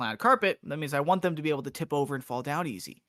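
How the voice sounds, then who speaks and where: In a dry, close recording with no echo, a man speaks very fast in a fairly high voice with a bright, sharp tone. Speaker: podcast co-host. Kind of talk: casual chat.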